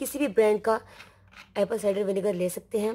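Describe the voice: Medium in pitch, a woman's voice carries a slightly mellow tone and a slightly husky edge.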